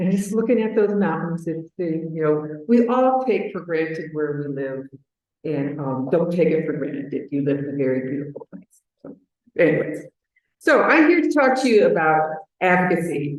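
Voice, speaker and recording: Speaking at a moderate pace, a woman with an American accent has a fairly low pitch and lively intonation. Her loudness swings widely, and audible room echo is present. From Chicago, US Midwest. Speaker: advocacy manager at a patient organization. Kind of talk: conference presentation.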